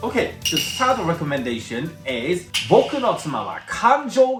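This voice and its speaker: Noticeable background noise sits behind a man with a Japanese accent who speaks at a fairly slow pace with very wide pitch swings. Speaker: anime reviewer. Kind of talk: casual talk to camera.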